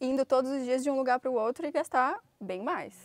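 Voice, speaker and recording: A woman's high-pitched voice at a very fast pace, with a dry sound and no echo. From Brazil, Brasília; Brazil. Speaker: motorhome traveler. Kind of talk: casual chat.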